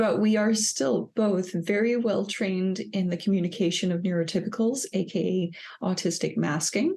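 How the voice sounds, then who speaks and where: Over a quiet background, a woman with a dark, mellow tone and somewhat breathy voice speaks at medium pitch and moderate pace, with ordinary pitch variation and very even loudness. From Denmark. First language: Danish. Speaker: psychologist, podcast co-host. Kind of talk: casual podcast chat.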